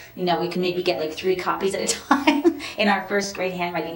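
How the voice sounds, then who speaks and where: A woman speaks with an American accent. Audible room echo and noticeable background noise surround her voice. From New York, Hudson Valley. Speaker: dance professor. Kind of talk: interview.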